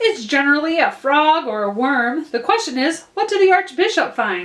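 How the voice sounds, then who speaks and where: A woman puts on a character voice at a high pitch. Her pitch swings very widely as she speaks at a moderate pace. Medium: read story.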